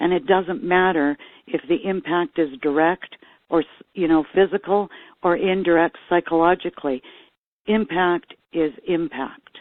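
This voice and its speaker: Here a woman has an ordinary speaking voice, fairly low in pitch with ordinary pitch variation. She talks at a fairly slow pace and her loudness is very even. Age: 60s. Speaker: trauma care worker. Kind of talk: testimony.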